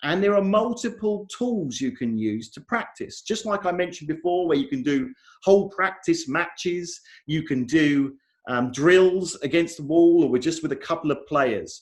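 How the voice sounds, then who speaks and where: Lively intonation from a high-pitched man with an English accent at a moderate pace. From England. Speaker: software conference speaker. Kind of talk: conference talk.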